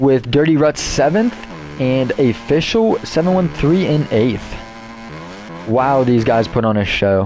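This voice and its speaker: A man's medium-pitched, animated voice, fairly slow, with lively intonation and very even loudness, music in the background. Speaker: esports race commentator. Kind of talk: live commentary.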